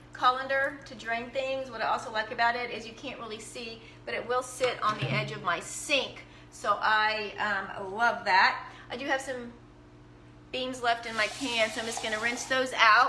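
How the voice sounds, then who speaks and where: A woman with a high pitch and fairly even intonation speaks at a moderate pace, with audible room echo and light background noise. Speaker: home cook demonstrating products. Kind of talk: live cooking demo chat. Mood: cheerful, laughing. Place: kitchen. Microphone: phone near.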